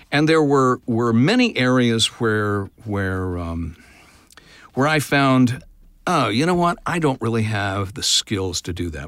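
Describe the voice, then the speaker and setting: With an American accent and a normal speaking voice, the speaker talks at a moderate pace with lively intonation on a very clean recording with a silent background. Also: man. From Oklahoma, US. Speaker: voice actor. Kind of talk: interview.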